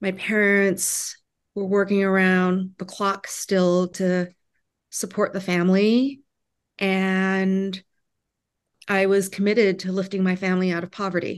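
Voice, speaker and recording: A woman's medium-pitched voice, flat and monotone, at a fairly slow pace with long, frequent pauses over a quiet background. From Vietnam, refugee raised in US. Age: 40s. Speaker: immigration attorney and restaurateur. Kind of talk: interview.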